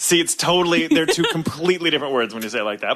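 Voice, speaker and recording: A very fast pace, with noticeable background noise. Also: man. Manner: clipped.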